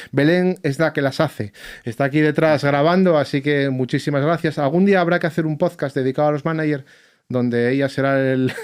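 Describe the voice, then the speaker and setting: At a fairly quick pace, the speech keeps very even loudness in a very clean recording with a silent background. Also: man, fairly high pitch for a man. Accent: Asturian. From Asturias, Spain. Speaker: musician and podcast host, bagpiper. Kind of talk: casual podcast chat. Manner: animated, informal.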